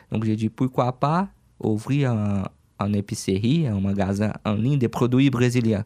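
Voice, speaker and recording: Dark, mellow, medium-pitched male voice in a Brazilian accent, fairly slow with ordinary pitch variation, dry and close with no echo on a very clean recording with a silent background. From Brazil, Franca (São Paulo state). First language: Portuguese (speaking French). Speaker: online shop owner. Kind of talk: radio interview. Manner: halting.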